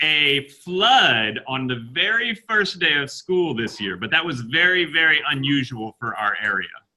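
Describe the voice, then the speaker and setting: An American-accented man talks with hardly any pauses and very wide pitch swings. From United States. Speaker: teacher. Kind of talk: classroom video call with students. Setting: video call.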